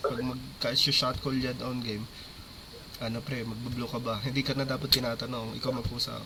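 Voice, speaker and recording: A man talks at a fairly quick pace in a monotone, flat voice. Audible room echo and noticeable background noise surround him. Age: 30s. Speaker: esports coach. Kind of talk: team feedback session.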